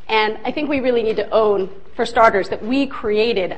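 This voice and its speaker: Over noticeable background noise and audible room echo, a woman talks at a fairly quick pace in a fairly high pitch with ordinary pitch variation. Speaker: lecturer on restorative justice. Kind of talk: lecture. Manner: fast.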